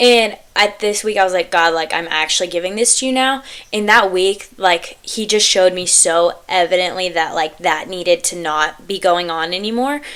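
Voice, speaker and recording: Hardly pausing, a woman with a medium pitch speaks at a moderate pace with ordinary pitch variation over noticeable background noise. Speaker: podcast host. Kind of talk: casual chat.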